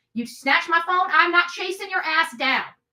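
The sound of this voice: A woman's bright, sharp voice at a fairly quick pace.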